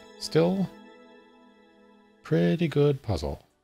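As this man talks, faint music can be heard in the background. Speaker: game streamer. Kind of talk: gameplay commentary. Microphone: studio mic.

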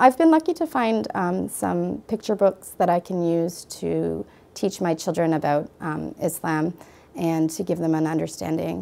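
A woman with a Canadian accent speaks at a fairly slow pace. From Canada. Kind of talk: testimony; interview answer. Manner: halting. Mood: earnest, warm. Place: studio. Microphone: lapel.

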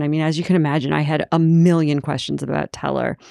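A woman's fairly low, dark and mellow voice, dry and close with no echo, over a quiet background. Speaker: podcast host. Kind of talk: interview conversation.

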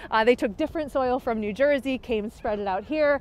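A woman's high-pitched voice with lively intonation, dry with no echo. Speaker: tour guide. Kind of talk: guided tour commentary. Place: open country. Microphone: phone near.

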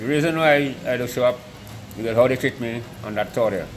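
A man talks at a very fast pace with ordinary pitch variation. Noticeable background noise runs underneath. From Dominica. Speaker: former national football goalkeeper. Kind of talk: interview. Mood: reminiscing, somewhat aggrieved. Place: stadium.

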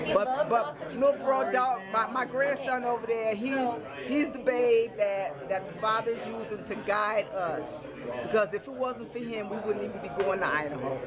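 Over crowd noise in the background, the speech moves at a moderate pace. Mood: happy, emotional, excited. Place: hall. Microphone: phone near.

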